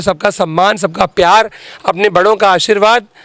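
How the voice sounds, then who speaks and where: A man speaks at a moderate pace in a high pitch. Noticeable background noise can be heard. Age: 30s. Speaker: politician, parliamentary candidate. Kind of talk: interview. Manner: animated.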